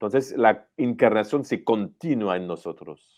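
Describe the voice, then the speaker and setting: In a quiet setting, a man's voice unfolds fairly slowly, its pitch varying in an ordinary way. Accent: French. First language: French (speaking Spanish). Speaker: priest, superior general of a religious congregation. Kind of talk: interview on theology. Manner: halting.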